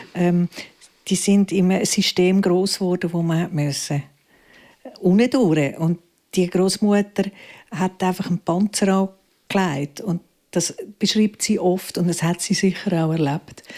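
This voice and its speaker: Speaking at a fairly slow pace with very even loudness, this dark, mellow voice leaves long, frequent pauses in a very clean recording with a silent background. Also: woman, medium pitch for a woman. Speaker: theatre director and actress. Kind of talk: live interview. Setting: library stage with audience.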